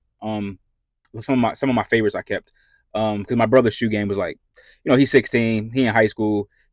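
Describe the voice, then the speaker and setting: A man at a very fast pace, fairly even intonation, very clean recording with a silent background. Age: 30s. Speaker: RV vlogger and army veteran. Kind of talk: casual vlog talk. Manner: halting, many fillers.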